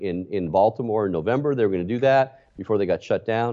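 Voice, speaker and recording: A man with a plain, everyday voice, lively intonation and a fairly quick pace. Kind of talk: interview. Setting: video call.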